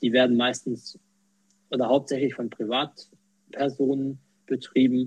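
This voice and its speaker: Flat, monotone male voice at a medium pitch, broken by long, frequent pauses. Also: fairly slow pace. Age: 20s. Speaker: quality manager and accessibility volunteer. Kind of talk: interview. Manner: hesitant, many fillers.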